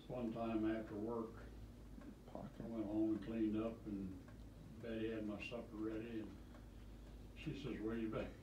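With noticeable background noise behind him, a man at a medium pitch speaks at a moderate pace in a monotone, flat intonation, leaving long, frequent pauses. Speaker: retired great-grandfather. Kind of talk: casual chat. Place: home room.

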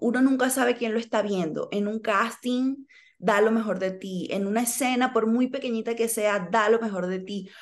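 A woman with an ordinary speaking voice, fairly high in pitch, at a moderate pace with fairly even intonation, against a quiet background. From Venezuela. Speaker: actress. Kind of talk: interview. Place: home room. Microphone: video call.

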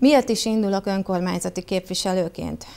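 Her intonation stays fairly even at a moderate pace. This woman's pitch sits in the medium range. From southern Hungary, Bács-Kiskun (Baja, Bácsalmás); southern Hungary. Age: 40s. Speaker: local council candidate, public finance director; council candidate. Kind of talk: campaign self-presentation. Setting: TV studio. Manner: formal, prepared speech. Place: studio.

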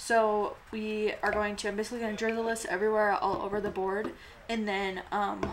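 The voice speaks in a flat monotone, and noticeable noise sits in the background. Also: woman. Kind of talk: tutorial. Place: street.

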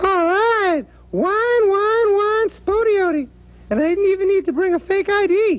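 A cartoonish character voice at an extremely high pitch. It moves along at a fairly slow pace. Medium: puppet show. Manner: sassy, wisecracking.

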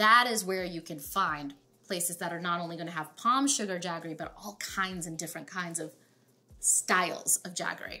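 Faint music plays in the background. The speaker keeps a moderate pace. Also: woman. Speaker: home cook host. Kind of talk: cooking tutorial. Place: kitchen.

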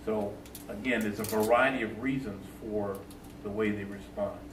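With noticeable background noise and audible room echo, a man speaks at a moderate pace in a fairly low pitch with fairly even intonation. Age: 60s. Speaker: police trainer. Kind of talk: panel discussion. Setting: town hall meeting. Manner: loud.

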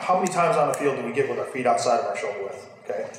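A man speaks with audible room echo around him and light background noise underneath. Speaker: strength coach presenter. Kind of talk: lecture. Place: gym.

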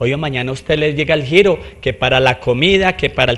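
A somewhat breathy voice at a fairly quick pace. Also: man. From Colombia. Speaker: mayoral candidate; candidate. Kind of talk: interview. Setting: studio. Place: studio. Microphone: handheld.

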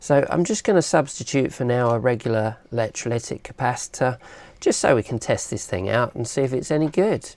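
A woman with a British accent speaks fairly quickly in a very deep, low voice with lively intonation. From UK. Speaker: electronics hobbyist YouTuber. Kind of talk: tutorial. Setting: workshop bench. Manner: casual, conversational. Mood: cheerful, chatty. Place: workshop. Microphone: lapel.

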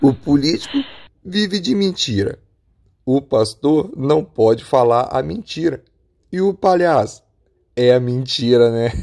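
A man with a fairly high voice speaks fairly slowly in a playful tone, with lively intonation and long, frequent pauses. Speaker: stand-up comedian and community leader. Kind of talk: stand-up comedy. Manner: animated, laughs at own jokes; casual, playful.

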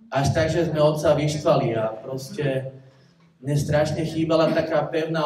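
Audible room echo surrounds a voice that moves at a moderate pace with monotone, flat intonation. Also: man. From Bratislava, Slovakia; Slovakia. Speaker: churchgoer giving testimony. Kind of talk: testimony. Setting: church community meeting. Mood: reflective, confessional. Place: church.

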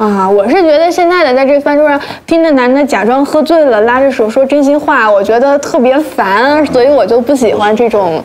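Speaking at a moderate pace, a woman uses a high pitch. Her loudness stays very even, and she hardly pauses. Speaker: talk show guest. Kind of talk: casual chat. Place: studio.

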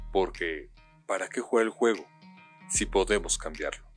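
A man talks fairly slowly while music runs in the background. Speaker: voice actor. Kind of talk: TV commercial read.

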